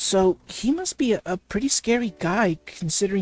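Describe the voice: Someone is doing plain reading aloud.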